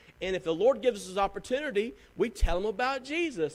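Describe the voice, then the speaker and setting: A man talks fairly quickly with a Southern US accent. His pitch swings very widely. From US South. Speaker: pastor. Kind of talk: sermon; church announcements. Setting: church.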